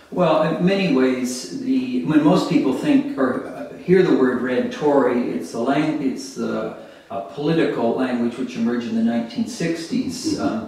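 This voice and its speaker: Strong room echo surrounds speech delivered at a fairly slow pace. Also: man. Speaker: interviewee. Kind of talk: interview answer. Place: home room.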